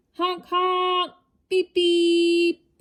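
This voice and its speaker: A woman speaks in a put-on character voice, squeaky and extremely high-pitched. Her intonation stays flat and monotone. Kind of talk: bedtime story. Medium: read story. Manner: warm, rhythmic.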